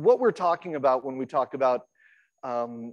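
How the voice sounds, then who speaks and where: A man speaks loudly at a moderate pace. His pitch swings very widely. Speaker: accessibility researcher. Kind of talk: conference talk. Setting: stage with audience, PA system. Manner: halting, many fillers.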